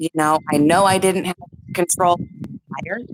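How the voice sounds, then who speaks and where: A woman speaks with a fairly low-pitched voice. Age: 40s. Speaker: caller. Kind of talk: emotional testimony. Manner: halting. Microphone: too quiet.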